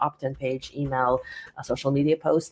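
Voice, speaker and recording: A woman talks at a fairly quick pace. She has a non-native accent. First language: not English. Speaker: business author and coach. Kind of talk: interview.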